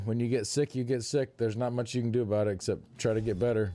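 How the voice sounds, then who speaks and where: Music plays in the background as a man speaks at a medium pitch. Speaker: video game streamer. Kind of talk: live stream chat. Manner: casual, halting.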